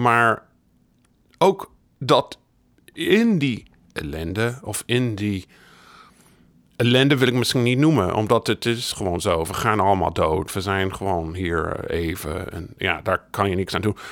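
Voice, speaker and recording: Speaking at a very slow pace, a man with an English accent uses a fairly low pitch and lively intonation. Long, frequent pauses break up his speech. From United States. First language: English (speaking Dutch). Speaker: biographer. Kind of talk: interview.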